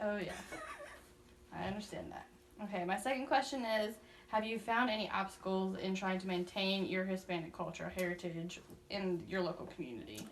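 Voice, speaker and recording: With long, frequent pauses and ordinary pitch variation, a woman speaks at a fairly quick pace amid audible room echo. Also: medium pitch for a woman. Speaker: student interviewer. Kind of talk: interview.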